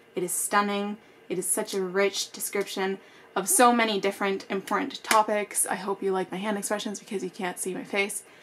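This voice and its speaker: Noticeable background noise behind a woman's medium-pitched voice at a fairly quick pace. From Spanish-speaking country, then Canada from age seven. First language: Spanish. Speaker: book YouTuber. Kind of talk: casual tutorial to camera. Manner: animated.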